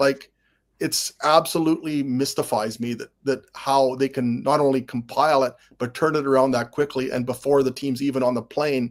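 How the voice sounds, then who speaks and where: A man with a Canadian accent speaks at a moderate pace in a medium pitch, his intonation flat and monotone. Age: 60s. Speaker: sportswriter and football historian. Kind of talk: casual chat.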